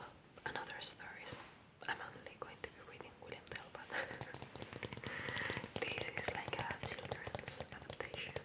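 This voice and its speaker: A whispering woman, with noticeable background noise behind her. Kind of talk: ASMR bedtime story reading. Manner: soft, whispered.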